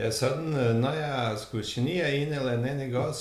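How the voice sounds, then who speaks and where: A man's fairly high voice at a moderate pace with ordinary pitch variation, with noticeable background noise and audible room echo. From Montenegro. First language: Serbo-Croatian (Montenegrin) (speaking Danish). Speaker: warehouse worker. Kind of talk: casual interview.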